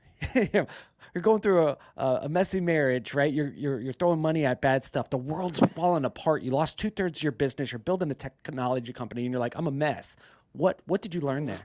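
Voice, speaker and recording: On a very clean recording with a silent background and a dry, close sound with no echo, a man with a fairly high pitch speaks at a very fast pace in an animated tone with ordinary pitch variation. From South Florida. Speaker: podcast host. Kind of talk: podcast interview.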